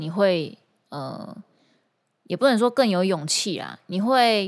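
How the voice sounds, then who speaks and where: A woman with lively intonation at a fairly slow pace, on a very clean recording with a silent background. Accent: Taiwanese. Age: 30s. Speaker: singer and guitar teacher. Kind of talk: casual podcast monologue.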